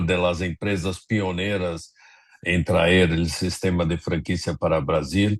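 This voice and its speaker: A man speaks with a very deep, low pitch and fairly even intonation. The background is quiet. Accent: Portuguese. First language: Portuguese (speaking Spanish). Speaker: franchise consultant. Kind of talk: webinar panel discussion.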